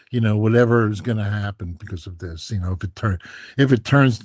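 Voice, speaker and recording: Someone with a New York accent speaks against a quiet background. The pace is moderate, with ordinary pitch variation. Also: man. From New York City (Queens). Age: 70s. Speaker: author. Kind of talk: interview conversation. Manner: halting.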